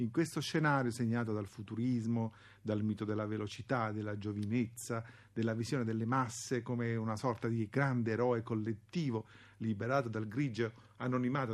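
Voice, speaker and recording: Over a quiet background, a man speaks at a medium pitch. His pace is fairly quick. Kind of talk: historian's radio commentary introducing archival propaganda clips. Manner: formal, measured, didactic; gravely emphatic when denouncing the propagandists.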